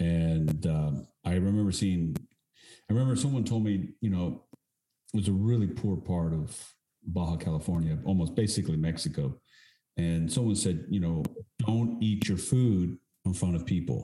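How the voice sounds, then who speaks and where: In a very deep, low voice with a dark, mellow tone, a man speaks at a moderate pace and very even loudness, his pitch varying in an ordinary way and long pauses coming often. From Texas. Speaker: podcast host and actor. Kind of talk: interview.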